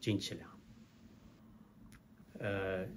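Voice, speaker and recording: A man's voice over light background noise. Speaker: storyteller. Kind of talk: folk tale storytelling to camera. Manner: casual, hesitant with fillers. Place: office. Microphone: phone near.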